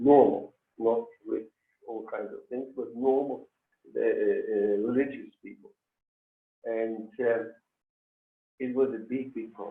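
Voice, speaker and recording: At a very slow pace, a man speaks with long, frequent pauses and big swings in loudness. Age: 70s. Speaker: Holocaust survivor. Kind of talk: testimony. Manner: halting.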